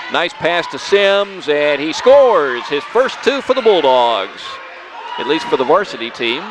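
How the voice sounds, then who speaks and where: Despite noticeable background noise and a dry sound with no echo, a man with a high pitch speaks in an upbeat tone at a fairly slow pace, making very wide pitch swings. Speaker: local sports radio announcer. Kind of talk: live radio basketball play-by-play commentary. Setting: gym, broadcast at a basketball game. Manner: stays upbeat and chatty, adds background on players between plays. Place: hall.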